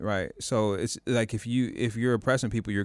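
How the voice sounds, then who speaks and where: A man speaks at a fairly quick pace and a fairly low pitch. His intonation stays monotone and flat. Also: very clean recording, silent background. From US Pacific Northwest, Tacoma. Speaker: podcast co-host. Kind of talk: casual chat.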